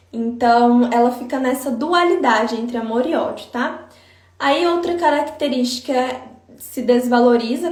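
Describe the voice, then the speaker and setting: There is noticeable background noise and audible room echo. Through it, a woman speaks at a high pitch. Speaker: psychologist. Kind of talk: live stream talk. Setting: Instagram live.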